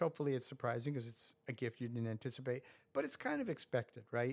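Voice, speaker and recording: A man with an American accent and a plain, everyday voice talks at a fairly quick pace on a very clean recording with a silent background. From New York suburbs, US. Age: 60s. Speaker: professor and person in recovery.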